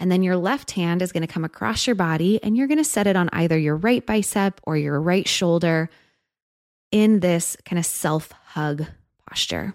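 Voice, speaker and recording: Here is a woman with fairly low pitch and an unremarkable speaking voice, her loudness very even and pitch variation ordinary. The recording is very clean, with a silent background. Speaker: podcast host and guide. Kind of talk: guided meditation. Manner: slow, soft, soothing, calm; instructional, unhurried, with pauses.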